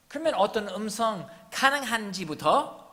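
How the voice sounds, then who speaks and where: With a slight non-native accent, a man uses a raised, projected voice, with audible room echo around him. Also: bright, sharp tone. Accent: non-native Korean, good pronunciation. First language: English (speaking Korean). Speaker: missionary pastor. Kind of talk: sermon.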